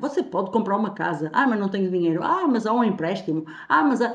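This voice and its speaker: At a fairly quick pace, a woman of medium pitch talks in a plain, everyday voice. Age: 50s. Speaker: TV talk show co-host. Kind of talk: TV panel discussion.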